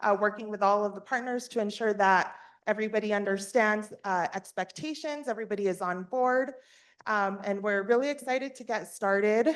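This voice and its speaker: With an ordinary speaking voice, a woman talks at a moderate pace and medium pitch with ordinary pitch variation against a quiet background. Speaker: state workforce agency staff presenter. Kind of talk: board meeting presentation. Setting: in-person and virtual meeting.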